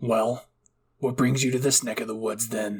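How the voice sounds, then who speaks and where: A man does a raspy, put-on character voice in monotone, flat intonation. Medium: read story. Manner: brusque, cursing.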